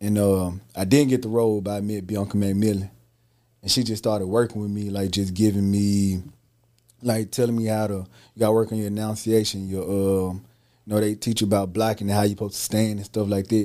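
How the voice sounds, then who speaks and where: Delivered at a fairly quick pace in a Southern US accent, the voice has a dark, mellow tone and monotone, flat intonation, in a very clean recording with a silent background. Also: man, fairly low pitch for a man. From Mississippi, Holly Springs. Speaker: actor and entrepreneur. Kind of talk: casual interview chat.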